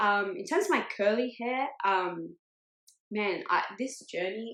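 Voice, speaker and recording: Words arrive at a very slow rate. The pitch rises and falls in an ordinary way. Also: woman. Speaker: podcast co-host. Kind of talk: casual chat.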